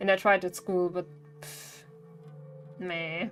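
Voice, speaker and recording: A woman speaks with a German accent at a moderate pace, her medium pitch showing ordinary variation. Music plays in the background. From Bavaria, Germany. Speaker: streamer. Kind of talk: live gaming stream chat. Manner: halting.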